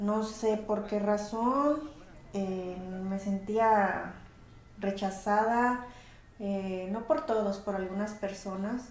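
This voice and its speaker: With long, frequent pauses and a very slow pace, a woman with a Mexican accent speaks in fairly even intonation, amid noticeable background noise and audible room echo. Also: medium pitch for a woman. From Mexico, Colima (Armería), moved to California as a child. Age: 40s. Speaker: interviewee, mother of the channel owner. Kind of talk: personal interview testimony. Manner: halting, many fillers.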